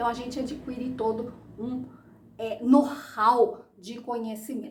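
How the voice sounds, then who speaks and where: A woman with a high pitch speaks at a fairly slow pace in a monotone, flat intonation. Audible room echo surrounds her voice. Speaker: architect and course instructor. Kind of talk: educational talk.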